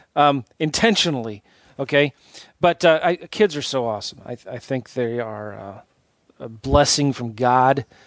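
With a West Coast accent, a man talks at a fairly slow pace and a medium pitch. His intonation is lively, his loudness swings widely, and the sound is dry and close with no echo. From San Diego, US. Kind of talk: podcast interview. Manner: laughs often.

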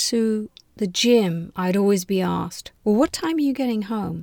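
Lively intonation comes through on a very clean recording with a silent background and a dry, close sound with no echo. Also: woman. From London, England. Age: 60s. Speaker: podcast guest sharing dating story. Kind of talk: personal storytelling interview.

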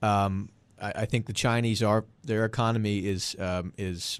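Here is a man with an unremarkable speaking voice and a fairly low pitch. His intonation is fairly even, and the background is quiet. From Boston area. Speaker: political strategist. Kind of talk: panel discussion.

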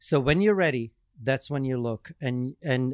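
The recording has a dry, close sound with no echo, and a man with a normal speaking voice talks at a medium pitch with ordinary pitch variation. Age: 50s. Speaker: professional dancer and dance fitness creator. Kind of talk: casual chat. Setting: host's home.

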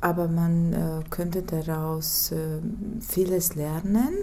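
A woman speaks very slowly in a fairly low pitch, with vocal fry and a dark, mellow tone. Room echo is audible. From Latvia, Ventspils. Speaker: teacher. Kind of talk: interview. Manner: halting.

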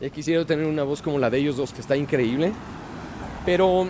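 Noticeable background noise sits behind a man with a Mexico City accent. His pitch varies in an ordinary way. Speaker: voice-over announcer. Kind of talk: casual chat.

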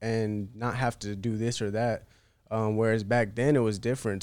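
A man with an American accent has a plain, everyday voice at medium pitch, speaking at a moderate pace with fairly even intonation on a very clean recording with a silent background. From US South, North Carolina. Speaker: independent musician. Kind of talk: casual chat.

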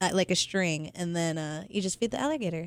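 A woman with an American accent and an ordinary speaking voice, medium in pitch, with ordinary pitch variation, at a fairly quick pace, in a very clean recording over a silent background. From Las Vegas, US. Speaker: adult film performer. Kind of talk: casual chat.

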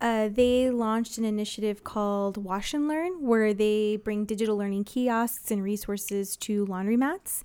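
In a normal speaking voice, a woman with an American accent talks at a moderate pace and a fairly high pitch, with ordinary pitch variation, hardly any pauses, and a very clean recording with a silent background. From Texas, San Antonio. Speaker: internet provider employee in public policy. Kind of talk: radio interview.

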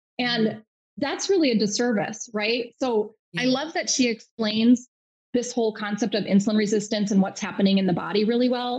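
With a somewhat breathy, fairly high-pitched voice, a woman speaks at a moderate pace with ordinary pitch variation. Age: 40s. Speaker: nurse practitioner and health coach. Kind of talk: casual interview.

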